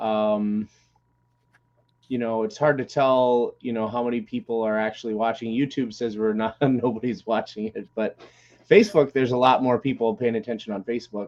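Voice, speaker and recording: The man talks at a moderate pace with fairly even intonation. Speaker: podcast co-host. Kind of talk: casual chat. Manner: frequent filler words.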